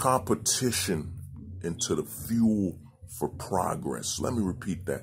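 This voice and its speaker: A man's fairly low, somewhat breathy voice with very wide pitch swings over light background noise. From Haiti. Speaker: nonprofit founder. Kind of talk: appeal video monologue. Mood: earnest, thoughtful. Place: home room. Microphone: phone near.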